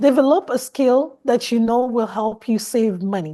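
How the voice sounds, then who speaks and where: At a moderate pace and with a Nigerian accent, a woman speaks in a high pitch with a dark, mellow tone and lively intonation over a quiet background. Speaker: fashion designer. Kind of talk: interview.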